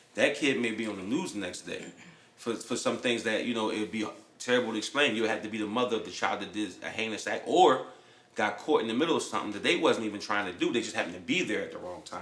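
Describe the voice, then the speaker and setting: A medium-pitched male voice at a very fast pace, with ordinary pitch variation and audible room echo. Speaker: podcast host and landlord. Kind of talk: casual chat. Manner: halting.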